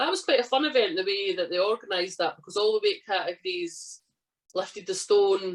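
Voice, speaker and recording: A woman with a Scottish accent talks at a fairly quick pace. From central Scotland. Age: 30s. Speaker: strongwoman athlete. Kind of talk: casual chat. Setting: podcast interview.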